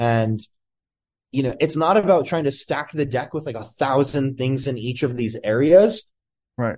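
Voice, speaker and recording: A man's medium-pitched, plain, everyday voice with ordinary pitch variation, described as a plain, everyday voice. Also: moderate pace. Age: 20s. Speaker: entrepreneur and performance coach. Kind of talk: casual interview. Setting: podcast.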